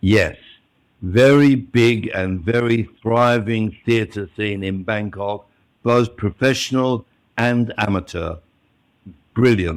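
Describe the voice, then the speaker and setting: A man at a medium pitch with ordinary pitch variation, talking very slowly with long, frequent pauses. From Australia. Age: 80s+. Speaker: retired actor. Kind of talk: casual interview.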